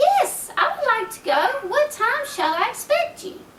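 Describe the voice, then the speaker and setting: Squeaky and extremely high, a woman's voice comes through. It is a put-on character voice. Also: moderate pace. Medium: read story.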